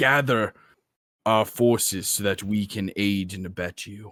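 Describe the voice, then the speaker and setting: A man puts on a booming character voice. He talks at a fairly slow pace with a fairly low pitch. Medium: actual play.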